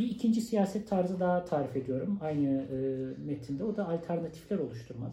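A high-pitched man with a dark, mellow tone talks at a fairly quick pace with lively intonation. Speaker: sociologist and university lecturer. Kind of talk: interview.

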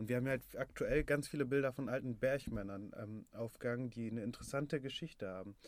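A medium-pitched man talks very fast, his pitch varying in an ordinary way. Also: hardly any pauses. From Ruhr area, Germany (Bottrop). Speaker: head of a youth newsroom. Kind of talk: casual chat. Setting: studio.

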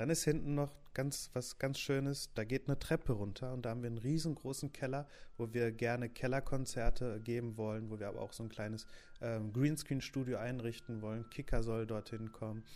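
A man with an ordinary speaking voice, medium pitch, fairly quick pace and fairly even intonation. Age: 20s. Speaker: youth newsroom editor. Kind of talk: casual podcast introduction. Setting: home office.

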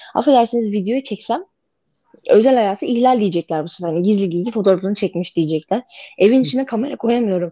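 Speaking very fast, a woman has a fairly high pitch and a dark, mellow tone. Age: 20s. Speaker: domestic violence survivor. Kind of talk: interview testimony. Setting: radio interview.

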